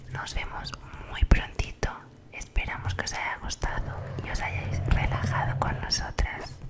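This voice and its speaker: A soft-spoken woman is whispering at a fairly slow pace. Loud background noise surrounds her. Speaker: ASMR creator. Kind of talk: soft casual vlog chat. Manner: soft ASMR whisper close to mic. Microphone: studio mic.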